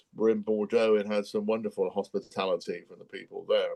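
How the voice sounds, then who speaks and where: Spoken with a West Country accent, the recording has a dry, close sound with no echo. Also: man. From Bristol, England. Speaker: businessman. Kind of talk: interview answer. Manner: hesitant, conversational.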